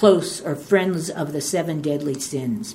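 Fairly slow pace and lively intonation, with noticeable background noise. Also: woman. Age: 70s. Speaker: twelve-step workshop speaker. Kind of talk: testimony. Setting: stage with audience. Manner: rambling storyteller.

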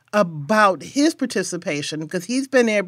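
A woman with an American accent talks at a moderate pace in an ordinary speaking voice, fairly high in pitch, on a very clean recording with a silent background. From Milwaukee, Wisconsin. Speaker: podcast host. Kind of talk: interview and scripted narration.

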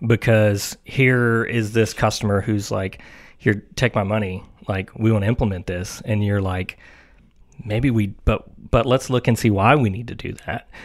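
A man with a Tennessee accent, fairly low pitch and fairly even intonation, on a very clean recording with a silent background. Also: moderate pace. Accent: Southern US (Tennessee). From US South, Tennessee (Mount Juliet). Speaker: IT network practice director. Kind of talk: casual podcast interview. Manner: halting, many fillers.

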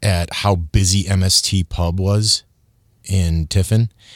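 A man with an American accent at a very slow pace and ordinary pitch variation, in a dry, close sound with no echo on a very clean recording with a silent background. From Michigan. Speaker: TV news reporter and food feature host. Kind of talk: casual interview chat.

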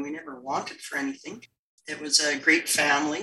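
A woman with a Canadian accent. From Canada, northern British Columbia. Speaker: Paralympic wheelchair curler. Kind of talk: interview conversation. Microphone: poor audio quality.

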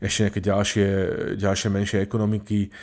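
On a very clean recording with a silent background, a man speaks at a very fast pace. His pitch is fairly low. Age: old. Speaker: podcast co-host, media law commentator. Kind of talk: casual chat.

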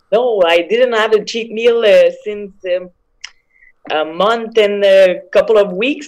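A woman's medium-pitched voice with a French accent and ordinary pitch variation. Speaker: MMA fighter. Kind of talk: interview. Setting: video call.

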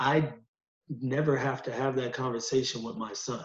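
A man's somewhat breathy, medium-pitched voice with an American accent, fairly even intonation and a moderate pace, in audible room echo. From US Northeast, Utica, New York. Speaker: college counselor and sociology adjunct. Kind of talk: casual discussion.

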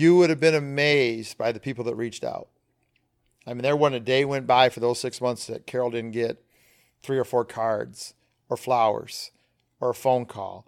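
Speaking with an American accent at a moderate pace, a man with a medium pitch and fairly even intonation leaves long, frequent pauses in a very clean recording with a silent background. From Flint, Michigan. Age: 50s. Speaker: charter captain and fishing educator. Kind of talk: casual interview. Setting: in-person at a conference.

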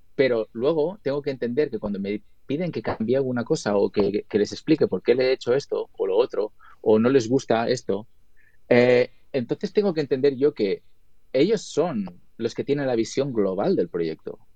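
A man speaks in a Spanish accent with a dark, mellow tone and medium pitch. His moderate pace and lively intonation come through in a dry, close sound with no echo. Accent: Spanish accent when speaking English. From Spain. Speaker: video editor and colorist. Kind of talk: interview.

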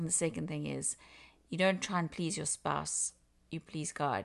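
A woman with a South African accent at a moderate pace over a quiet background. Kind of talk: casual interview on relationships and faith.

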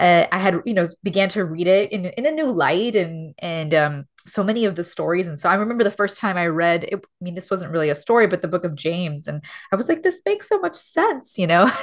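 A woman speaks with an American accent in an animated tone. Her pitch is medium, with ordinary pitch variation. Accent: Miami Cuban American English. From Miami, Florida (Cuban American community). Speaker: theologian and author. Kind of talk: interview conversation. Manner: animated, many fillers and laughs.

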